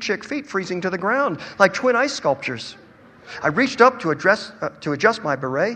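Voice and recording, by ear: The voice reads text aloud in a natural way.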